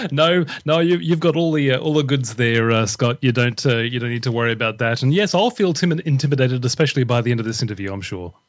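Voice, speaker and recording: A man with an Australian accent races along at a very fast pace, his intonation lively and his pauses hardly there at all. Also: medium pitch for a man. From Australia, Brisbane. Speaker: author and former radio broadcaster. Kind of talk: podcast interview.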